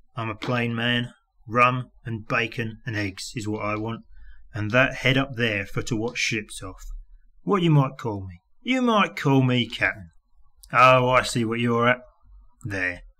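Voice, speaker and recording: Using a raspy, put-on character voice at medium pitch, a man speaks at a moderate pace with long, frequent pauses and big swings in loudness. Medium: read story. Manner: coarse, gruff, commanding.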